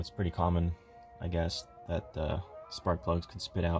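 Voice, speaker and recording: A man speaks with a very deep, low pitch. Faint music plays in the background. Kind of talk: casual tutorial narration. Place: garage. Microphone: phone near.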